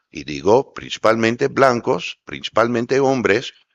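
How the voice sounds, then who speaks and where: Over a quiet background, a man with an English accent speaks very slowly at medium pitch, with vocal fry. The sound is dry and close, without echo. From US, New York. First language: English (speaking Spanish). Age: 60s. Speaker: former diplomat. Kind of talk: panel discussion. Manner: loud.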